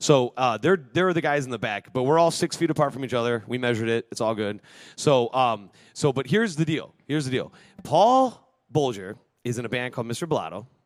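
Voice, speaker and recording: The speech moves at a fairly quick pace, and the intonation is lively. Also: man, medium pitch for a man. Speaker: podcast host. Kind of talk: casual chat. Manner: fast.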